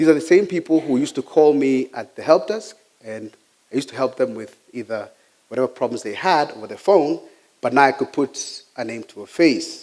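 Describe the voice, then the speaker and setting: A man's fairly high voice with a Kenyan accent, lively intonation, and big swings in loudness. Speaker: IT technician giving a talk. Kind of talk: personal talk.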